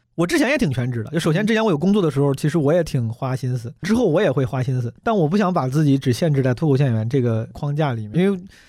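On a very clean recording with a silent background, a man with a fairly high pitch and a dark, mellow tone talks at a very fast pace with lively intonation and hardly any pauses. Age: 30s. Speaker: stand-up comedian. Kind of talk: casual chat. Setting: studio.

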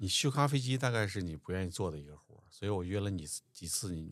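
Speaking very fast with lively intonation, a man uses a very deep, low pitch while his loudness swings widely. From Changbai Mountains, Northeast China. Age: 50s. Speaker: podcast host. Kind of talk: casual chat.

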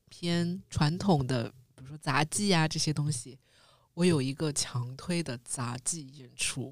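Very slowly, a woman speaks with lively intonation at a very deep, low pitch. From Shanghai. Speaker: podcast co-host. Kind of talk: casual chat.

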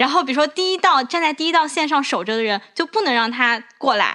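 A raised, projected voice with a bright, sharp tone races along at a very fast pace with lively intonation. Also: woman. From southern China. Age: 20s. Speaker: podcast host. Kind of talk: casual chat.

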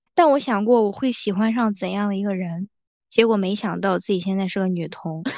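Against a quiet background, a woman at medium pitch talks at a fairly quick pace in an unremarkable speaking voice with ordinary pitch variation. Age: 20s. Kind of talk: casual chat.

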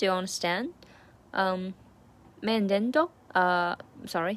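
A woman with a Chinese accent speaks at a medium pitch with ordinary pitch variation. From China. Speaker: language learner vlogger. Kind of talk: study diary. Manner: halting.

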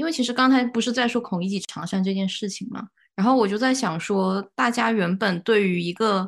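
A woman talks in a normal speaking voice at medium pitch, with ordinary pitch variation. Her pace is fairly quick with hardly any pauses, over a quiet background. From Guangzhou. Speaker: podcast co-host, graduate student. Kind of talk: casual chat. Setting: studio, in person with co-hosts.

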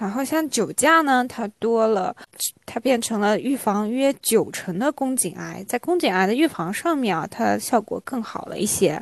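A woman talks in an ordinary speaking voice at a fairly high pitch with lively intonation. Her moderate pace sounds dry and close, with no echo. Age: 20s. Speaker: podcast host. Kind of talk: casual chat.

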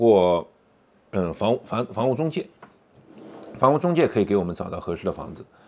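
A man is speaking. His pitch swings very widely. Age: 40s. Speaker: podcaster. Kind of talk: personal storytelling monologue. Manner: halting, many fillers.

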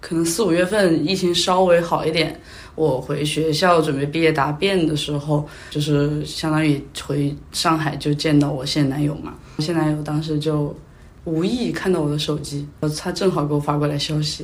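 A woman speaks with a very deep, low pitch and fairly even intonation. Room echo is audible. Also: moderate pace. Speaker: podcast guest. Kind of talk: casual chat. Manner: talkative.

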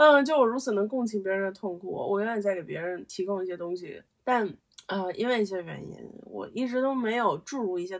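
A woman of medium pitch speaks in a normal speaking voice with ordinary pitch variation. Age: 20s. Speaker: podcaster. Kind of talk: solo casual monologue. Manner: rambling with frequent fillers.

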